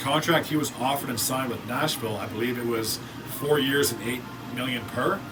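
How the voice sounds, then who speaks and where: Speech comes at a fairly quick pace, with noticeable background noise and audible room echo. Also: man. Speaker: sports YouTuber. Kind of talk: solo hockey team analysis video. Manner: mumbles words; casual, conversational with filler words.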